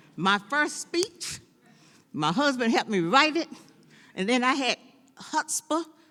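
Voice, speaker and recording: A woman with an American accent speaks fairly slowly, her pitch swinging very widely. Vocal fry runs through her voice. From US South, North Carolina. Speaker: former city council member. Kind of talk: speech at a celebration. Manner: drops word endings.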